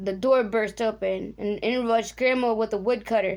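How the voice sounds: Reading in a natural voice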